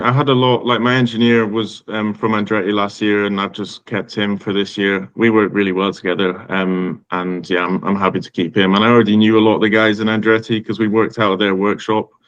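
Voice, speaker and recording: With a Scottish accent, a man with a fairly low pitch speaks at a very fast pace in fairly even intonation, with hardly any pauses. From Scotland, Aberdeen. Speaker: racing driver. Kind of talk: interview. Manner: hesitant, with fillers.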